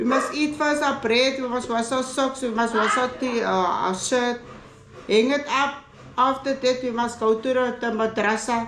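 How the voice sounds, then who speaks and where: Audible room echo and noticeable background noise surround a woman's high voice. She talks at a moderate pace with fairly even intonation. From South Africa, Cape Town (Athlone, Cape Flats). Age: 60s. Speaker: family member. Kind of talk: casual chat. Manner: halting.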